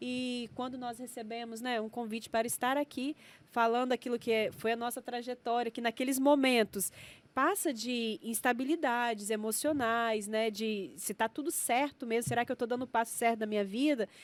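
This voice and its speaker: On a very clean recording with a silent background, a woman with a high pitch speaks in fairly even intonation, the sound dry and close with no echo. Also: moderate pace. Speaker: science educator and entrepreneur. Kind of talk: podcast interview.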